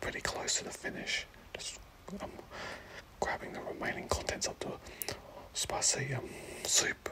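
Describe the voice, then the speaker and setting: Someone whispers at a fairly slow pace, with noticeable background noise behind them. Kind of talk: ASMR food commentary, casual talk to camera. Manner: whispered, soft.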